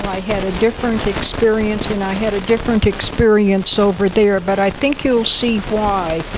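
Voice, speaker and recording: Fairly even intonation over noticeable background noise. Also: woman. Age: 80s+. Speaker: near-death experiencer. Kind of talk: personal testimony.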